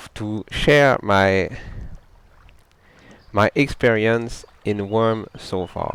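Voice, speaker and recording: The man speaks at a medium pitch. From Quebec, French Canada. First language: French. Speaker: gamer. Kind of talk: casual gameplay talk. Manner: halting, with self-corrections.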